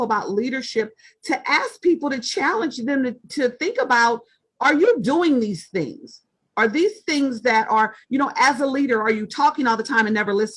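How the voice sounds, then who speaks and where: A loud, high-pitched woman's voice at a moderate pace, lively in intonation. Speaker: author and leadership writer. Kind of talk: interview conversation.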